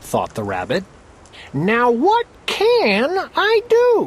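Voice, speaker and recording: A man uses a put-on character voice at an extremely high pitch. His pace is very slow. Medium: read story. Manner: boastful, snappy.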